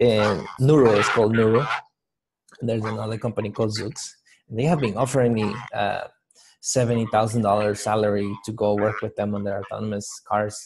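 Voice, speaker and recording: A man's fairly low voice with a Spanish accent, fairly quick pace and fairly even intonation against a quiet background. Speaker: motivational speaker. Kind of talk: interview.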